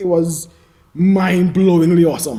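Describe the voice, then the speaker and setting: A man with a high-pitched voice delivers his words fairly slowly. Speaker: podcast co-host. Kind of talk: casual chat.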